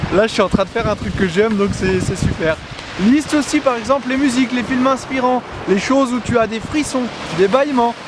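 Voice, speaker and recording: Over noticeable background noise, a man talks loudly at a fairly quick pace in an extremely high pitch with ordinary pitch variation. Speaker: motivational vlogger. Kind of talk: motivational monologue. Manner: animated.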